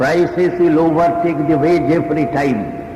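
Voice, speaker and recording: Against noticeable background noise, a man with a Bengali accent speaks at a fairly slow pace. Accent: Indian English, Bengali. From Calcutta, India. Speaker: trade union leader. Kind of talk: speech to union conference.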